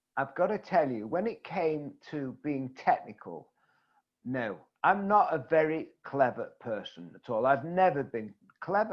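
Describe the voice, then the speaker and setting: A man with an English accent speaks at a fairly slow pace. His pitch is fairly high and his intonation lively. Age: 70s. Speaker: networking coach. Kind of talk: interview.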